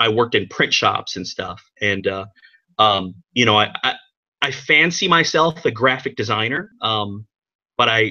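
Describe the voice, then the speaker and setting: There is a quiet background as a man speaks at a moderate pace. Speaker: remote guest. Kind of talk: interview answer. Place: home room. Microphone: webcam.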